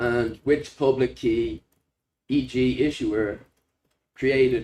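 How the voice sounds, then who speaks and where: Speaking very slowly with a Dublin accent, a man has a medium pitch and a dark, mellow tone. His intonation is fairly even. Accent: Irish (Dublin). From Ireland, Dublin. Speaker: software developer presenting a hackathon project. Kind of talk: project demo presentation. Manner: hesitant, many fillers.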